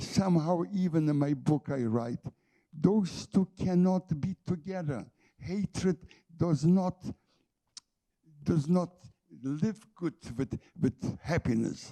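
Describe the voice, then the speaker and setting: A man speaks very slowly with a dark, mellow tone and a fairly high pitch, leaving long, frequent pauses. The sound is dry and close with no echo, and his pitch varies in an ordinary way. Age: 80s+. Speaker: Holocaust survivor and author. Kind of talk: panel discussion. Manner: halting.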